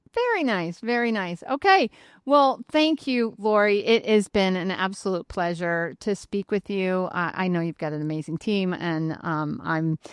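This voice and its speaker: A woman speaks at a fairly slow pace in a plain, everyday voice, her medium pitch sounding dry and close with no echo against a quiet background. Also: lively intonation, hardly any pauses. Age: 50s. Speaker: podcast host. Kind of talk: casual interview chat.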